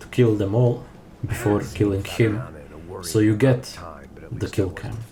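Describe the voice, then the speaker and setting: A man with a non-native accent and fairly even intonation, amid noticeable background noise and audible room echo. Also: fairly slow pace. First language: not English. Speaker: speedrunner. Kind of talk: gameplay commentary. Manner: unscripted, halting with fillers.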